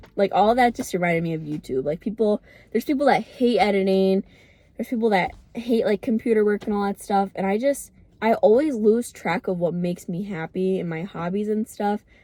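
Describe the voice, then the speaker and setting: A woman speaks fairly quickly at a medium pitch, her tone dark and mellow with ordinary pitch variation. The sound is dry and close, with no echo. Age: 20s. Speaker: lifestyle vlogger. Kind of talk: casual vlog talk. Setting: in a car. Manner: fast.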